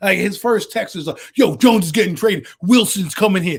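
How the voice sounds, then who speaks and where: Loud and fairly quick, the voice has ordinary pitch variation and an American accent. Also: man. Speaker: sports podcast co-host. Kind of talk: casual chat. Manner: animated.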